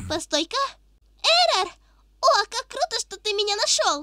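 This put-on character voice, pitched extremely high, moves at a moderate pace with an upbeat tone. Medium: dub. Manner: upbeat, excitable.

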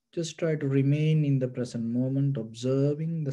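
The man's tone is dark and mellow, and his intonation stays fairly even. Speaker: buddhist monk meditation teacher. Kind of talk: guided meditation. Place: home room. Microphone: webcam.

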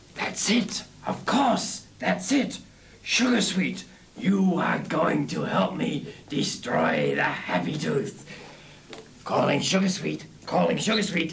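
Over clear background noise, a cartoonish character voice speaks at a fairly slow pace. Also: man, high pitch for a man. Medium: puppet. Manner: theatrical, gloating.

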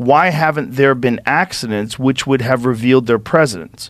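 Over a quiet background, a man speaks at a moderate pace with ordinary pitch variation and very even loudness, the sound dry with no echo. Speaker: podcast host. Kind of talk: reading aloud a text. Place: studio. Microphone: studio mic.

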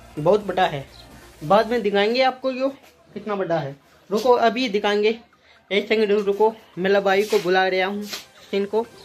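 Male voice at high pitch with ordinary pitch variation, fairly slow pace, long, frequent pauses and faint music in the background. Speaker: amateur vlogger. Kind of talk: casual vlog chat. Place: home room. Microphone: earbuds.

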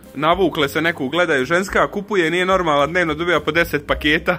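Over faint background music, a man speaks very fast in a high voice with fairly even intonation. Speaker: vlogger filming a friend. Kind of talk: casual vlog chat. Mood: joking, laughing. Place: street.

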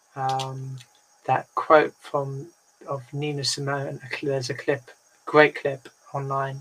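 The voice is somewhat breathy and monotone, with flat intonation. It moves at a very slow pace over light background noise. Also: woman, very deep, low pitch for a woman. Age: 30s. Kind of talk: casual group discussion. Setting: video call. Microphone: video call.

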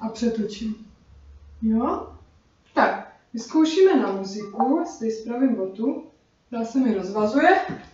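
A woman speaks fairly slowly with lively intonation and a fairly high pitch. Her voice carries audible room echo. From Czech Republic. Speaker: dance instructor. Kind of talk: tutorial. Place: kitchen. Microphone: camera far.

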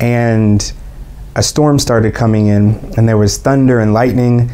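Very even loudness, flat monotone intonation and a fairly slow pace. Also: man. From Atlanta, Georgia, USA. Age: 20s. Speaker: English teacher and musician. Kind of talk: interview answer. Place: studio.

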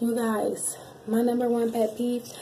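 A woman speaks at a fairly high pitch. Light background noise can be heard. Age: 20s. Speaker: YouTuber, wheelchair user; YouTuber. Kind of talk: casual Q&A vlog. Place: bathroom. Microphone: phone near.

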